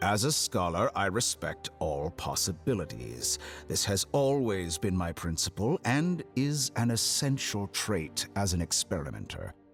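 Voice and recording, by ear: A man's put-on character voice, low in pitch with big pitch swings, over faint music in the background. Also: fairly slow pace.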